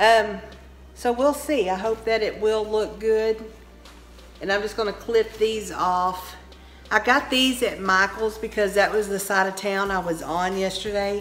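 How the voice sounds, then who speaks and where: Against music in the background, a woman with a Texan accent speaks slowly-ish at a fairly slow pace, medium pitch and fairly even intonation. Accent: Texan Southern US. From Texas. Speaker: home decor vlogger. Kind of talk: casual vlog chat. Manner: slow, drawn out; chatty.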